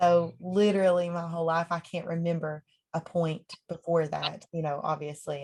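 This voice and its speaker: At a moderate pace, a woman speaks in a somewhat breathy voice with a fairly low pitch. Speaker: country singer. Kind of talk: casual chat.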